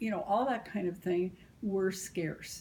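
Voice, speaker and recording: A woman with an American accent speaks very slowly at medium pitch, with fairly even intonation. Her tone is dark, mellow and somewhat breathy. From US Midwest, small-town Illinois. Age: 70s. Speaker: grandmother interviewed about family history. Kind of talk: oral history interview. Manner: hesitant fillers.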